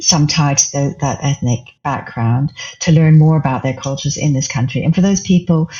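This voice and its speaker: Somewhat breathy, a woman's voice comes through. She talks at a fairly quick pace. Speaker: community founder. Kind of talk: podcast interview answer.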